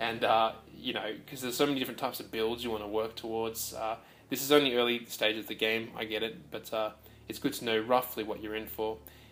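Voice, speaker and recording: Very fast delivery in an Australian accent. The intonation stays monotone and flat. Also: man, medium pitch for a man. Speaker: video game presenter. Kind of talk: gameplay commentary voice-over. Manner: hesitant, many fillers.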